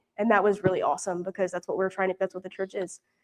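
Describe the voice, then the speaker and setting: The speaker is a woman. She talks in a Southern US accent. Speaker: mission intern. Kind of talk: mission report with slides. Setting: church prayer meeting. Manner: casual, many fillers.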